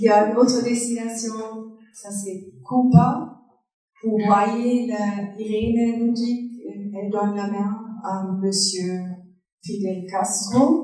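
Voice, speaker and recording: A woman speaks at a very slow pace with long, frequent pauses, in a fairly high pitch and a non-native accent. Her intonation stays fairly even while her loudness swings widely, and the room echo is audible. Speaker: foundation director. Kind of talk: public talk with slides. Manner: halting.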